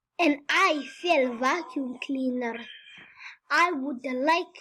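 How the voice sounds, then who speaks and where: A woman puts on a character voice and delivers her lines very slowly. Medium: read story. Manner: polite, formal.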